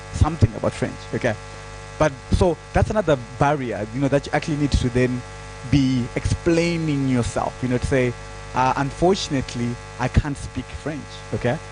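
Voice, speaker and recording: Here a man speaks with a Zimbabwean accent and ordinary pitch variation. Noticeable background noise can be heard. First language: Shona. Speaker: digital security trainer. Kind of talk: panel discussion. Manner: halting.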